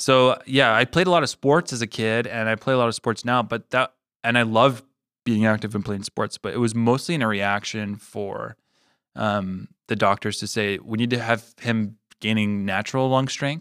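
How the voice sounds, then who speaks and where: A man with a Canadian accent has a plain, everyday voice at a medium pitch, with ordinary pitch variation and a moderate pace. The very clean recording has a silent background and a dry, close sound with no echo. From Manitoba, Canada. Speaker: podcast co-host. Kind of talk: casual chat.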